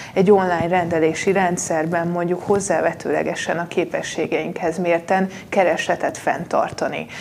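A woman's monotone, flat delivery comes with noticeable background noise. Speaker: politician. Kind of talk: debate.

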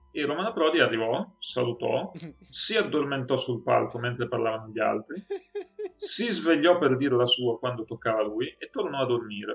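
The speaker has a plain, everyday voice. Delivery moves at a moderate pace with lively intonation. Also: man, medium pitch for a man. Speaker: podcast co-host discussing films. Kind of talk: casual chat.

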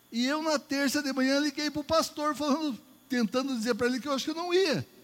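Speaking with a northeastern Brazilian accent, a man with an extremely high pitch goes at a fairly quick pace with ordinary pitch variation. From Northeast Brazil. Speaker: preacher. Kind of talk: sermon. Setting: church. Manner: animated.

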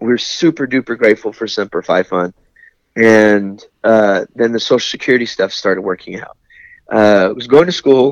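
In a normal speaking voice, a man with an American accent talks at a moderate pace and medium pitch, with ordinary pitch variation, in a dry, close sound with no echo. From California (San Diego and Lemoore). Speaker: Navy corpsman veteran. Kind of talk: casual interview.

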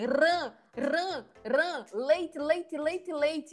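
A female-sounding, put-on character voice, high-pitched and very slow

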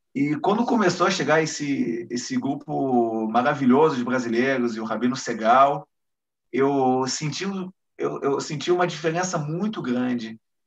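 A man with an unremarkable speaking voice, ordinary pitch variation and moderate pace. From Brazil, Rio de Janeiro. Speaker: military lawyer. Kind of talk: interview.

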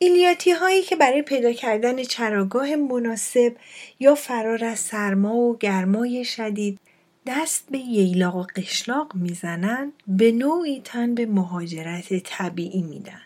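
The speech moves at a fairly slow pace, its pitch swinging very widely. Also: woman, fairly high pitch for a woman. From Iran, Fars province. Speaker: podcast host. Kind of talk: personal storytelling monologue.

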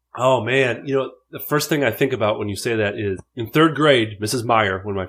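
A man with an American accent speaks at a fairly quick pace in a normal speaking voice with ordinary pitch variation. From Minnesota, US Midwest. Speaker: character actor and improviser. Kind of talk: casual interview chat.

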